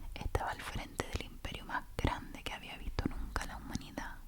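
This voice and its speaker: Noticeable background noise accompanies a woman who whispers at a moderate pace. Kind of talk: sleep story reading aloud. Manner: whispered, soft.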